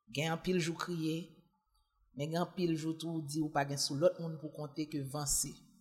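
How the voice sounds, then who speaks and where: Somewhat breathy and very deep, a woman's voice moves at a fairly slow pace with monotone, flat intonation. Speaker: journalist, single mother. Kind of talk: casual chat.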